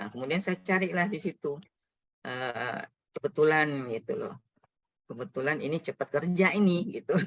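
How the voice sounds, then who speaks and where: A woman with a very deep, low voice speaks with lively intonation. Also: moderate pace. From Riau, Indonesia. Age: 50s. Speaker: educator, foundation founder. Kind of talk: webinar talk.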